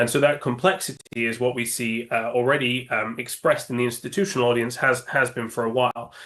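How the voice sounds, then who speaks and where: Over a quiet background, a man with a British accent and medium pitch speaks at a very fast pace with fairly even intonation. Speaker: index options sales executive. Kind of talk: interview. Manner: halting, many fillers.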